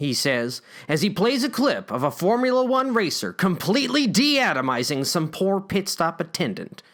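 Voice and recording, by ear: Reading aloud in a natural voice fills this clip.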